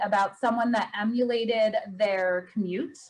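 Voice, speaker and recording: With an American accent, a woman speaks at a moderate pace in a plain, everyday voice with a fairly high pitch. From Pennsylvania. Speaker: event moderator. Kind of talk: casual chat. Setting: video call.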